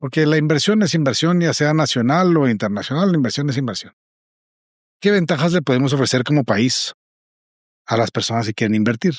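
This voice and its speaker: Speaking with a Guatemalan accent, a man uses fairly high pitch, lively intonation and very even loudness at a fairly quick pace. Long, frequent pauses break it up on a very clean recording with a silent background. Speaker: business association president. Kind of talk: interview.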